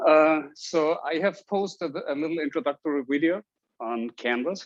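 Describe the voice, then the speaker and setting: Speaking in an Austrian accent at a moderate pace, a man uses a fairly high pitch with ordinary pitch variation in a dry, close sound with no echo. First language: German. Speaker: university statistics instructor. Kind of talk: lecture. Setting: classroom with Zoom recording. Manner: hesitant with fillers.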